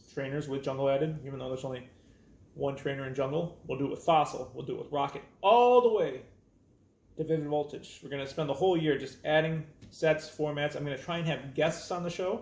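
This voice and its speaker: Very fast, somewhat breathy male speech with a fairly high pitch and ordinary pitch variation. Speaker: card game youtuber. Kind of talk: casual tutorial talk to camera. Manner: hesitant with fillers.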